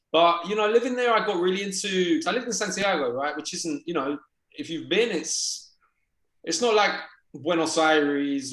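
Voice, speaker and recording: A man with a British accent talks at a moderate pace, his pitch swinging very widely. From England, London. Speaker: documentary filmmaker and journalist. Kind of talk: interview conversation. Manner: hesitant, many fillers.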